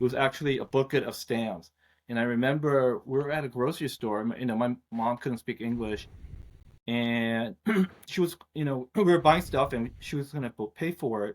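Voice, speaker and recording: This is an ordinary speaking voice from a man with a medium pitch and ordinary pitch variation. He talks at a moderate pace in a dry, close sound with no echo. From Korea, moved to US at eight. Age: 50s. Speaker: finance executive. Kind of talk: interview. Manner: casual, many fillers.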